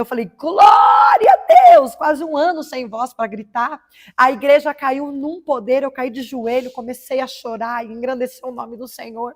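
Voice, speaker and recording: Her voice is high, with lively intonation. The woman keeps a moderate pace. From Paraná, Brazil. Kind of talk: testimony. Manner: emotional.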